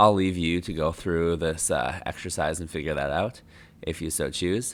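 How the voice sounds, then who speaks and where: A man's very deep, low voice in an American accent, ordinary pitch variation, on a very clean recording with a silent background. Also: moderate pace. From United States. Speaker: geology lecturer. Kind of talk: lecture. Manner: casual, with fillers and self-corrections.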